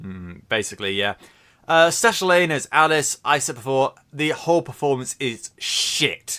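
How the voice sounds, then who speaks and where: A man with a British accent, fairly high pitch, a bright, sharp tone, very wide pitch swings and a moderate pace. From Britain. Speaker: podcast co-host. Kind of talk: casual chat.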